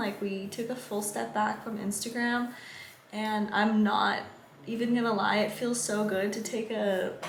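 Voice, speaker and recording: A woman with an American accent speaks at a fairly high pitch. There is noticeable background noise. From San Diego, California. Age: 20s. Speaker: surfer and vlogger. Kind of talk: casual talk to camera.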